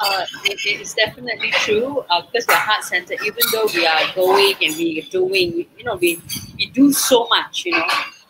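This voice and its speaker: A woman speaks at a moderate pace in a fairly high voice, her pitch swinging very widely over loud background noise. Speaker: stand-in co-host. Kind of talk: casual chat. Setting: outdoors.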